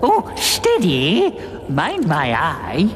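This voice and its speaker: Someone performs a cartoonish character voice. Background noise is clearly heard. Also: man. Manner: plummy, blustering.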